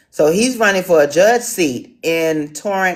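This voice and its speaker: A woman talks at a fairly slow pace with an American accent. Her intonation is lively. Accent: city. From Washington DC. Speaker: town hall moderator. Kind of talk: online town hall moderation. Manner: hesitant, many fillers.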